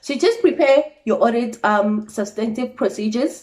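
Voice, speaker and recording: At a moderate pace, a woman speaks in a somewhat breathy, dark, mellow tone with fairly high pitch and ordinary pitch variation. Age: 20s. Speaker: trainee accountant. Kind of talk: casual talk to camera.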